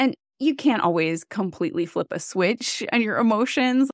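With an American accent and an unremarkable speaking voice, a woman talks at a fairly slow pace with lively intonation in a dry, close recording with no echo, very clean and with a silent background. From US Midwest, Wisconsin. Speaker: life coach. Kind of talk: interview.

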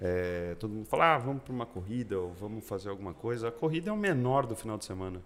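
At a very fast pace, a man talks with lively intonation at a fairly low pitch. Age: 40s. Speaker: racing driver and entrepreneur. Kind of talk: casual interview chat.

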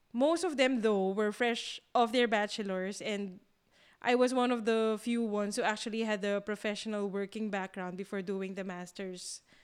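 Recorded very cleanly against a silent background, a woman with a Filipino accent speaks at a medium pitch with fairly even intonation. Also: moderate pace. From Philippines. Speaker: podcast co-host. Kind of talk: casual chat.

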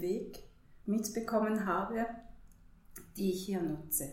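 A woman speaks at a very slow pace in a flat monotone, with noticeable background noise and audible room echo. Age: 40s. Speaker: holistic counselor. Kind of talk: interview.

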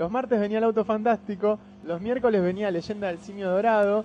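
Over music in the background, a man with a high pitch speaks in an animated tone at a very fast pace. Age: 30s. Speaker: comics fan guest. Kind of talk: casual chat.

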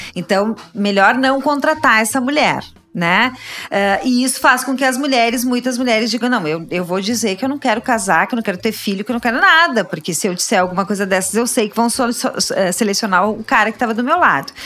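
Noticeable background noise runs beneath speech that is fairly quick in pace and lively in intonation. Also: woman, fairly high pitch for a woman. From Rio Grande do Sul, Brazil (Caxias do Sul). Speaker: labor lawyer. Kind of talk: interview. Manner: halting.

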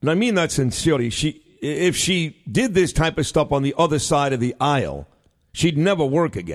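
A man with an American accent talks at a moderate pace and fairly high pitch. He has an ordinary speaking voice with ordinary pitch variation against a quiet background. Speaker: radio host. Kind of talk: live talk radio show. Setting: radio studio.

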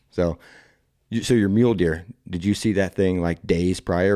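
In a very clean recording with a silent background, a man with an American accent speaks in a very deep, low pitch and a dark, mellow tone. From Indiana. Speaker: podcast host. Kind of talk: casual interview. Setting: in an archery shop. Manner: animated.

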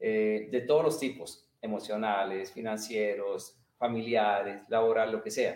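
With an unremarkable speaking voice, a man talks at a fairly slow pace. His pitch is medium, with ordinary variation. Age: 50s. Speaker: martial arts and meditation teacher. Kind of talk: interview. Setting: livestream video call.

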